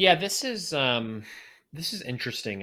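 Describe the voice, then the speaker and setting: The very clean recording, with a silent background, carries a man's voice with a bright, sharp tone. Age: 30s. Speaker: podcast host. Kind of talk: interview.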